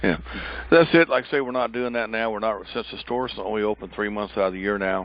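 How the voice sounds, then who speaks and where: A man's fairly low voice moves very fast, with ordinary pitch variation. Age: 60s. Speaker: pecan farmer. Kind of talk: interview. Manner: halting.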